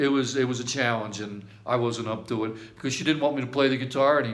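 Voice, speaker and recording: Over noticeable background noise, the speech runs at a very fast pace with fairly even intonation. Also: man. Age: 60s. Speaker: amateur guitarist recording a video message to an old army friend. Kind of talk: casual personal video message. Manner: rambling with frequent restarts and fillers.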